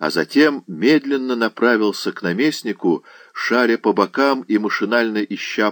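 Pitch shifts in an ordinary way as the text is read aloud plainly.

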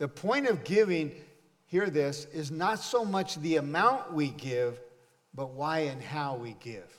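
Amid audible room echo, a man with a fairly high pitch talks at a very slow pace with lively intonation. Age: 70s. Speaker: pastor. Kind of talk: sermon. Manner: animated.

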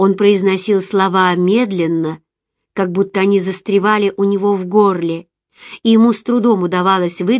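A quiet background surrounds the speaker. The unforced reading voice holds a fairly even intonation.

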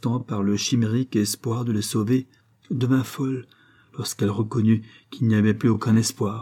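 The speech is plain reading aloud. Its intonation stays fairly even.

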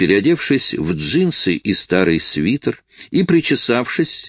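Text delivered in a natural reading voice

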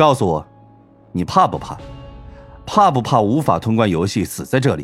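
A man's put-on character voice, fairly low in pitch, with big pitch swings, a slightly husky edge, a fairly bright tone, a moderate pace and faint music in the background

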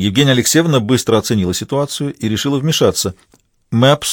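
In an unforced reading voice with ordinary pitch variation, the speaker reads over a quiet background.

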